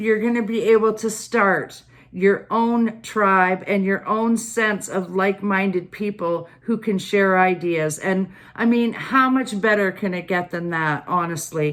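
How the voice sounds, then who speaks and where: On a very clean recording with a silent background, a woman speaks at a medium pitch and a fairly slow pace with ordinary pitch variation. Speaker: tarot and oracle card reader. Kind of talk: card reading monologue to viewers. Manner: loud.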